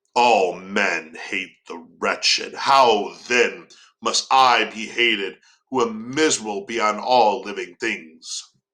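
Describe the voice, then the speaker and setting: Using a put-on character voice, a man talks at medium pitch and a very slow pace. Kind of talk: archaic, literary. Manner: anguished, reproachful, formal.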